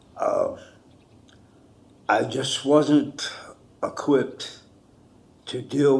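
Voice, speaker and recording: With an American accent, a man speaks amid audible room echo. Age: 60s. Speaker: defendant, military veteran. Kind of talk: courtroom plea for mercy. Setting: courtroom. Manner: halting.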